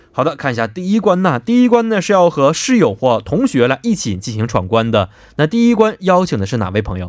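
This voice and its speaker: A man's fairly high voice swings very widely in pitch as he talks at a fairly quick pace. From Northeast China (Anshan, Liaoning). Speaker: radio host. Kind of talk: radio quiz show with phone-in guests. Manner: lively, chatty with laughter.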